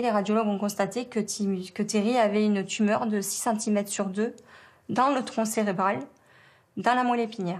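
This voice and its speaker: This woman's voice sits at medium pitch with fairly even intonation. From southern France, around the Étang de Berre. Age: 40s. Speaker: bereaved mother. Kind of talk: testimony. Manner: halting, many hesitations.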